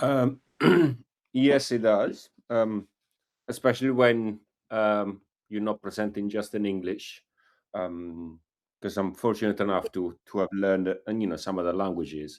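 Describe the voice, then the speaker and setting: Speaking fairly slowly with an Italian accent and ordinary pitch variation, the voice leaves long, frequent pauses on a very clean recording with a silent background. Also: man, fairly low pitch for a man. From Italy. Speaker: group call participant. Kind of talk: question on group call. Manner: halting, many fillers.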